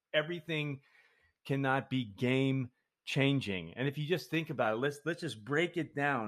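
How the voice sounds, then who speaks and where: Speaking at a moderate pace, a man with a fairly high voice uses ordinary pitch variation. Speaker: podcast host and account executive. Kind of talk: solo podcast monologue. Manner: casual, informal.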